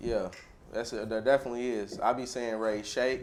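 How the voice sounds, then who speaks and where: With a Louisville accent, a man speaks at a moderate pace and medium pitch against noticeable background noise. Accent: Louisville local speech. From Louisville, Kentucky (West End). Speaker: comedian. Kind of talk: casual chat.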